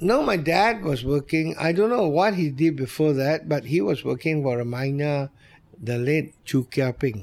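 A man speaks with a Malaysian accent at a fairly high pitch. His loudness stays very even. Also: lively intonation, moderate pace. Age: 70s. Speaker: restaurant owner. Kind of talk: interview.

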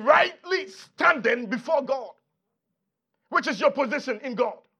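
A man's raised, projected voice, animated and bright, sharp in tone, with very wide pitch swings. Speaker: pastor. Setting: church with congregation.

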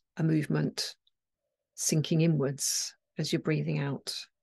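A woman speaks in a calm, soothing tone. She goes at a fairly slow pace with long, frequent pauses. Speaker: acupuncturist and mindfulness meditation teacher. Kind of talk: guided meditation. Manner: slow, calm, soothing; gentle, paused, instructive.

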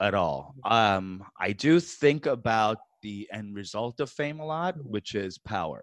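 A man with a New York accent at a very slow pace, very wide pitch swings and a dry, close sound with no echo. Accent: American, New York. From New York City, US. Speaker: stand-up comedian. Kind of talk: casual interview chat. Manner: animated.

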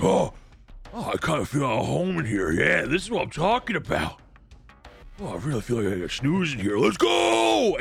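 A man's put-on character voice at a medium pitch and moderate pace, with faint music in the background. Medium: actual play.

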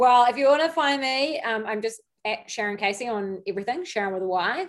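At a fairly quick pace, a woman talks with lively intonation. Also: fairly high pitch for a woman.

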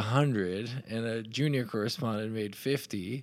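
A man talks in an unremarkable speaking voice at a moderate pace. His pitch is medium, with ordinary variation. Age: 40s. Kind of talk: casual interview conversation.

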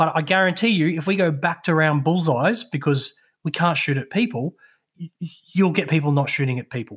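In a very clean recording with a silent background, a man with an Australian accent speaks at a fairly quick pace. His animated tone has a fairly high pitch and ordinary pitch variation. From southeast Queensland, Australia. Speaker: veteran and mental health speaker. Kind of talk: casual chat, storytelling. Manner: animated, jokey, swears often.

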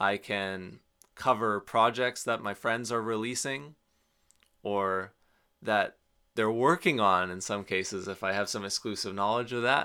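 A man with a western Canadian accent speaks at a fairly slow pace, his pitch fairly low with ordinary variation and his tone bright and sharp. The recording is very clean, with a silent background. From British Columbia, Canada. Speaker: jazz and folk bassist. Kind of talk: interview.

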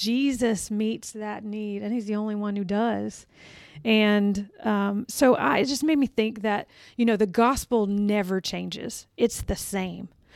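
A woman speaks fairly slowly at a medium pitch in a plain, everyday voice. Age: 40s. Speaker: church staff member. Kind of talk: casual chat.

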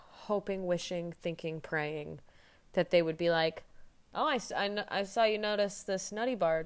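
A woman with a plain, everyday voice talks at a medium pitch, her pitch varying in an ordinary way. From Indiana, US Midwest. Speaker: guest. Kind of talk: casual chat. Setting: video call.

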